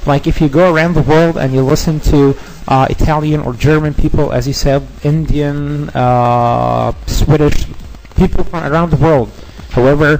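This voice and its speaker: With a non-native accent, a man with a fairly high voice speaks at a moderate pace in fairly even intonation over noticeable background noise. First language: Arabic. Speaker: radio guest. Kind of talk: casual chat. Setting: studio.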